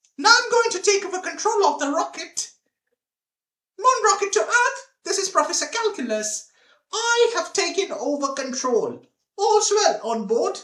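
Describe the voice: This cartoonish character voice is squeaky and extremely high-pitched, delivered at a moderate pace.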